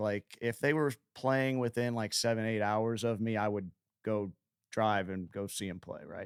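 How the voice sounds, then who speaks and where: In a dry, close recording with no echo, a man with an American accent talks at a medium pitch. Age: 50s. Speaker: singer-songwriter. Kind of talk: casual interview. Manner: halting, many repeated words.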